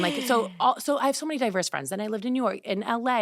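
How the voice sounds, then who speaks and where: On a very clean recording with a silent background, a woman speaks in an animated tone. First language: Greek. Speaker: fashion and beauty influencer. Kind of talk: casual interview chat.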